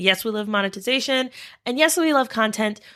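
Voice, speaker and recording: A woman's animated voice, fairly high-pitched and bright and sharp in tone, with ordinary pitch variation, on a very clean recording with a silent background. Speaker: podcast host. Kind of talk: solo podcast monologue.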